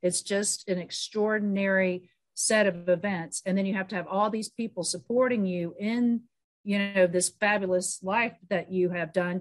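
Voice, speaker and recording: Against a quiet background, a woman talks at a moderate pace. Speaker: podcast host. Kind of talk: casual chat. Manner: animated. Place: home room. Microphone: video call.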